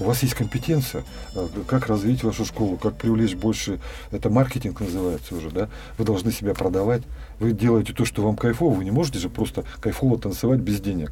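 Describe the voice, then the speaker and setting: Against noticeable background noise, a man with a fairly low pitch speaks using lively intonation. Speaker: dance student and farmer, former businessman. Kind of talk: casual interview. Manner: hesitant with fillers.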